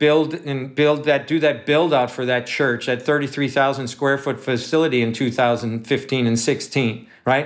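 The man's intonation stays fairly even as he goes along at a moderate pace. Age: 50s. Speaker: pastor. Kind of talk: sermon. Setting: at home.

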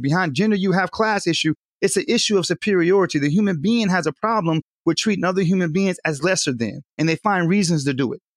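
On a very clean recording with a silent background and a dry, close sound with no echo, a man with an American accent talks at a very fast pace in a high pitch with ordinary pitch variation. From Southern California. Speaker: community health worker. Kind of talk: panel discussion.

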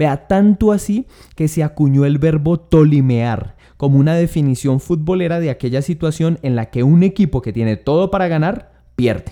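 A man's fairly high, dark, mellow voice has lively intonation at a moderate pace. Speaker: comedian. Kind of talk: stand-up.

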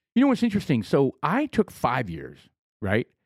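On a very clean recording with a silent background and a dry, close sound without echo, a man speaks with vocal fry and very wide pitch swings. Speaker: podcast co-host. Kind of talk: casual chat.

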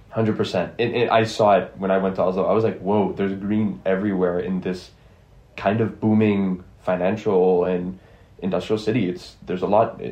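A man's fairly low, monotone voice with flat intonation and an American accent, at a moderate pace, with audible room echo. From Geneva, Switzerland (earlier years in Ohio). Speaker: university student, podcast panelist. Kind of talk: casual panel discussion.

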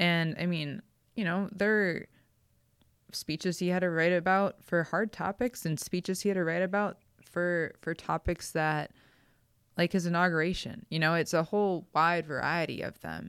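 A woman with an American accent, a normal speaking voice, fairly low pitch, fairly even intonation and a moderate pace on a very clean recording with a silent background. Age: 30s. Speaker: author. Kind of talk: interview.

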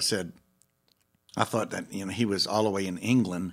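With a New Orleans accent, a man talks at a fairly quick pace in a fairly low pitch and fairly even intonation. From New Orleans, Gentilly. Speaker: bass player. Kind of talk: casual chat.

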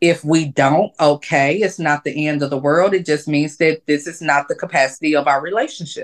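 An American accent at a moderate pace, with hardly any pauses, fairly even intonation, and a quiet background. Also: woman, very deep, low pitch for a woman. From US South, Atlanta. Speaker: intimacy coach. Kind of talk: casual chat.

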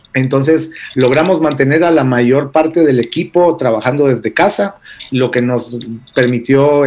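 A man with a Guatemalan accent speaks at a fairly high pitch and moderate pace, with ordinary pitch variation and very even loudness. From Argentina, then Israel from age 11. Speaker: entrepreneur, travel company founder. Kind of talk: radio interview.

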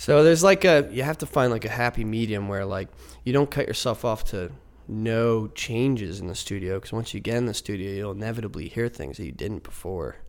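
This man has a normal speaking voice at medium pitch, with an American accent. The recording is very clean and the background silent. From Philadelphia area, US. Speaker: folk rock musician. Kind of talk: casual interview chat. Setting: studio.

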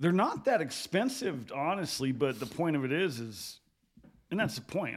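This is a man speaking. His pace is moderate. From Wyoming (Gillette). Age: 40s. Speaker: teacher and sports card shop owner. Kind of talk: casual chat.

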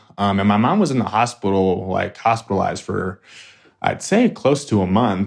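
A man talks in a normal speaking voice at a fairly low pitch. His pace is moderate. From Flagstaff, Arizona. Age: 20s. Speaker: guest sharing personal story. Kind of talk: casual interview. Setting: podcast recording.

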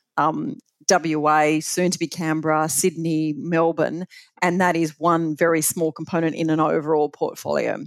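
A woman with an Australian accent talks at a moderate pace in a very deep, low pitch. Her intonation stays monotone and flat. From Australia, Bathurst NSW. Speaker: super fund chief executive. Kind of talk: interview.

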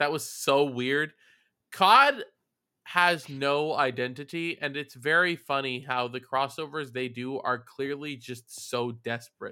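A man with a fairly high pitch speaks at a fairly slow pace. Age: 20s. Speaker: podcast host. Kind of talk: casual chat. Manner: animated.

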